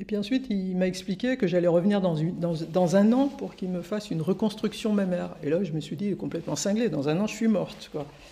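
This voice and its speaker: A medium-pitched woman's voice with lively intonation and hardly any pauses, over noticeable background noise. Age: 60s. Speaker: journalist and author. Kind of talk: testimony. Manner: halting.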